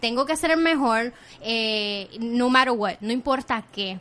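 This woman has a high voice with a bright, sharp tone and ordinary pitch variation. She sounds animated and talks at a fairly slow pace. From Puerto Rico, Caguas. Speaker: podcaster and TV news contributor. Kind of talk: casual chat.

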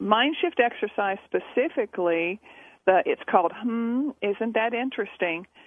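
This woman has an ordinary speaking voice, fairly high in pitch, and talks at a fairly slow pace with lively intonation. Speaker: poker coach and author. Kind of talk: casual radio interview. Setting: phone call.

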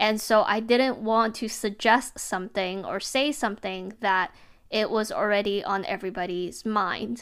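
A woman with a fairly high pitch speaks at a moderate pace. The recording is very clean with a silent background. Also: fairly even intonation. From born outside the US. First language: not English. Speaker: podcast host. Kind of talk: solo monologue. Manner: casual, filler-heavy.

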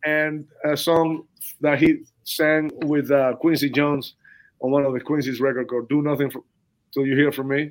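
A man with a Spanish accent speaks at a moderate pace in a fairly high pitch. His intonation stays monotone and flat. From southern Cuba. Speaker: percussionist. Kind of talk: interview.

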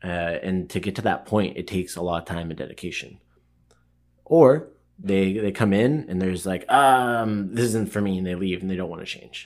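Using an ordinary speaking voice, a man speaks at a moderate pace and a fairly low pitch with ordinary pitch variation. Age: 30s. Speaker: martial arts gym owner and coach. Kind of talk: casual interview.

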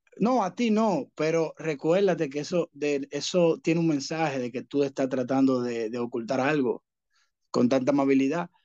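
A man speaks in a Dominican accent at a moderate pace. His voice is fairly high-pitched, with ordinary pitch variation. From Dominican Republic. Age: young. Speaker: rideshare driver, former bank employee. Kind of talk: casual chat.

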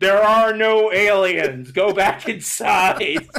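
Putting on a character voice, a man speaks very slowly at a high pitch.

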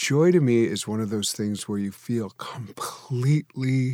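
A man speaks very slowly at a medium pitch with a dark, mellow tone and ordinary pitch variation, on a very clean recording with a silent background. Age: 50s. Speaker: minister and interfaith advisor. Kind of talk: casual interview chat.

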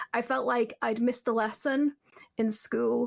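Here is a woman with a northern English accent. Her pitch is fairly high and her pace fairly slow. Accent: flattened northern English, slight Cumbrian. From Cumbria, northern England. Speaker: podcast guest. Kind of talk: casual group chat. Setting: video call.

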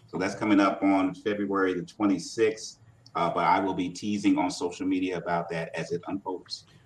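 A man talks at a moderate pace with an American accent. His pitch sits fairly low and his intonation stays fairly even. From Virginia, US (Portsmouth). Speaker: artist and author. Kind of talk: interview. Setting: video call. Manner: halting.

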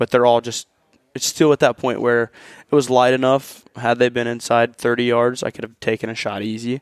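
This man has an American accent and a medium pitch. He talks at a fairly quick pace. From Ohio, US. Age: 20s. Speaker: hunt winner. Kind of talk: storytelling. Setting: hunting camp.

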